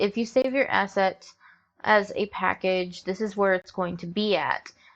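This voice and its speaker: A woman speaks at a fairly slow pace. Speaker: visual novel software tutorial creator. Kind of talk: screen-recorded tutorial. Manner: hesitant, many fillers. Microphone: troublesome mic, recording issues.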